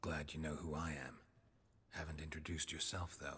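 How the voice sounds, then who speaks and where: Putting on a character voice, a man speaks at a fairly quick pace with very deep, low pitch and monotone, flat intonation. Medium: video game. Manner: laconic, dry.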